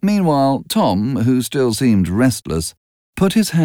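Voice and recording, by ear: The speaker is reading aloud in a natural voice against a quiet background.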